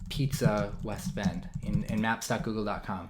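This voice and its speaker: A man with an American accent speaks using lively intonation. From Wisconsin, US Midwest. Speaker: online marketing trainer. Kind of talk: webinar tutorial. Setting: live webinar broadcast. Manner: fast.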